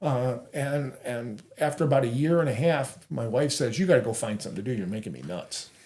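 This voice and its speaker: Somewhat breathy, with a dark, mellow tone, a man speaks at a medium pitch. His pace is fairly quick and his intonation lively. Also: hardly any pauses. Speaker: co-founder of adaptive sports group, wheelchair basketball player. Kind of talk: interview conversation.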